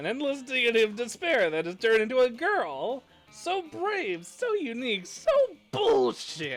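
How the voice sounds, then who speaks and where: A put-on character voice at fairly high pitch and a moderate pace, over faint music in the background. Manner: smug, sneering.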